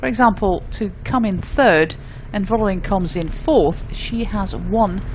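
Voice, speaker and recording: Background noise can be noticed throughout. The pace of speaking is fairly slow. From Netherlands. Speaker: cycling commentator. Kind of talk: live commentary.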